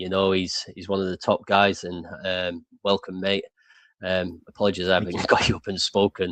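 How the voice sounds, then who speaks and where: Heard in a dry, close sound with no echo, the voice speaks with an English accent at a moderate pace, its intonation monotone and flat. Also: man, very deep, low pitch for a man. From England. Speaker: crypto show host. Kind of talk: casual chat.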